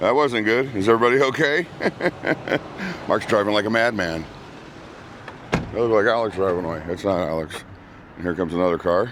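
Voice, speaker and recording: Against noticeable background noise, a man with a fairly low pitch talks at a fairly quick pace with lively intonation and long, frequent pauses. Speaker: vlogger. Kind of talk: casual vlog monologue. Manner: casual, halting with fillers.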